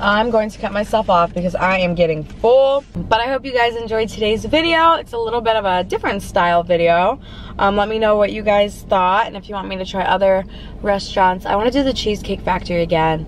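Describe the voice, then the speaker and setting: A woman's voice at a fairly quick pace with ordinary pitch variation, dry sound with no echo, and light background noise. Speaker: food vlogger. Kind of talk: casual vlog chat. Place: car.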